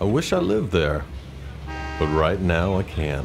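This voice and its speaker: Over clear background music, a man with an American accent talks at a fairly slow pace in a very deep, low pitch with ordinary pitch variation. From American South. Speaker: voice actor. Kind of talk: public service announcement, promotional narration. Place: studio.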